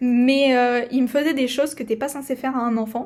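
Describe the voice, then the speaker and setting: On a very clean recording with a silent background, a woman speaks at a high pitch in a monotone, flat way. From southern France (Provence-Alpes-Côte d'Azur, rural village). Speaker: podcaster. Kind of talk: personal testimony. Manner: halting, many hesitations.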